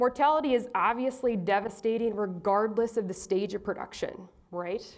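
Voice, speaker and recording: A woman's fairly high voice carries ordinary pitch variation. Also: moderate pace. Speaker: animal geneticist. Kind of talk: conference talk. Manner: loud.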